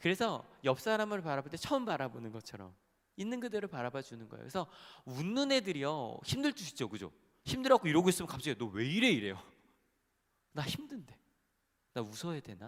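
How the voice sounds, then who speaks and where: Speaking at a very fast pace, a man uses vocal fry and very wide pitch swings, broken by long, frequent pauses. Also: fairly high pitch for a man. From Incheon, South Korea. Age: young. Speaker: pastor. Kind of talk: sermon. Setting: church. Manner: animated.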